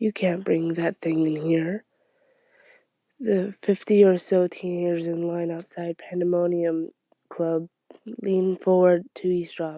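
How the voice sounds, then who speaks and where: A fairly slow pace with long, frequent pauses. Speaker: ASMR reader. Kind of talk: ASMR book reading. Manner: soft-spoken.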